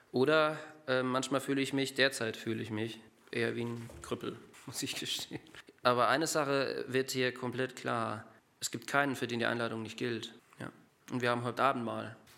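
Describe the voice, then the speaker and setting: Pausing long and often, a man speaks at a moderate pace and medium pitch with monotone, flat intonation. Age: 30s. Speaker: lay preacher. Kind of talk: sermon. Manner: halting.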